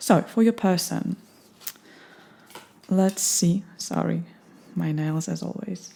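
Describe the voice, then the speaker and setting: A woman's fairly low-pitched, somewhat breathy voice, dark and mellow, with a calm tone at a very slow pace. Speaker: tarot reader. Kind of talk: tarot reading. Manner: calm, meditative.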